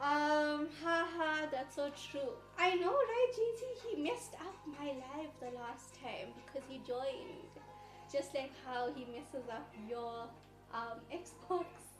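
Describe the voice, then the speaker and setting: Amid audible room echo and background music, a woman with a high pitch speaks at a very slow pace using lively intonation. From South Africa, Johannesburg (South African Indian). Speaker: live streamer cooking on stream. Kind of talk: casual live stream chat. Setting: live stream. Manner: animated, many fillers (um).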